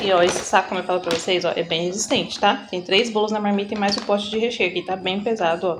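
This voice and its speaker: A woman speaks with medium pitch and fairly even intonation. There is noticeable background noise. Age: 30s. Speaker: home baker and vlogger. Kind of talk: casual vlog tutorial. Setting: home kitchen. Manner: chatty; soft-spoken.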